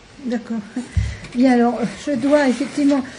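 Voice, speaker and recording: There is audible room echo as a woman speaks with a high pitch. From France, Paris. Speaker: author and lecturer. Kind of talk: talk at a round table. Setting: university lecture room with audience. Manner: halting with many fillers.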